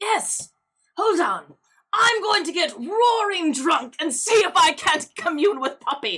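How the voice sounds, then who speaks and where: A woman does a put-on character voice at an extremely high pitch. She speaks at a fairly slow pace. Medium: actual play. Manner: gushing, oddly intense.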